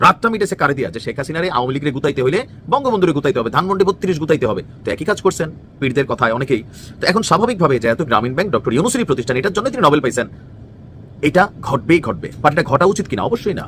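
A man with a fairly high pitch and very wide pitch swings. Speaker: political commentator. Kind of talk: political commentary. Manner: colloquial, conversational.

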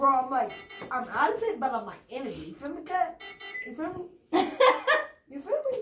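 A woman speaks at a moderate pace in a room with audible echo. Faint music plays in the background. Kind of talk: rambling casual talk under sedation. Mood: groggy, medicated, playful bravado. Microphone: phone near.

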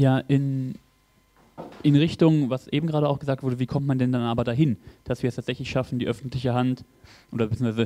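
The voice has a dark, mellow tone and fairly even intonation. Its pace is very fast. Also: man. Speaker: audience member and local politician; audience member, local politician. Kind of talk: Q&A question from the floor. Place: hall. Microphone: handheld.

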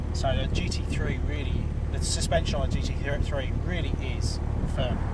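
The sound is dry, with no echo. Loud background noise runs underneath. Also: man. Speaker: car reviewer. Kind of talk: casual car review walkthrough. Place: car. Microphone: camera far.

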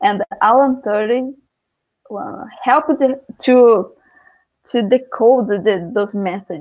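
A woman speaks very slowly with a Portuguese accent, at a fairly high pitch. Her pitch varies in an ordinary way against a quiet background. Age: 20s. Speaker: student; guest teacher presenting a class. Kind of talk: lecture. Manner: halting.

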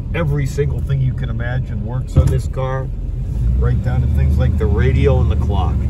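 The speech moves at a moderate pace with a dry sound and no echo. Loud background noise runs underneath. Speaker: seller. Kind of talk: casual test drive commentary. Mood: enthusiastic, proud. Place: car. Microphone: phone near.

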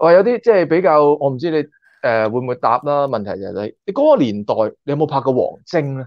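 Against a quiet background, a man with a fairly high voice talks at a very fast pace, with very wide pitch swings, big swings in loudness, and a dry sound with no echo. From Hong Kong. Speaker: YouTuber and former stunt extra; YouTuber. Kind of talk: casual interview chat. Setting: online call. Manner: animated. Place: home room. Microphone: video call.

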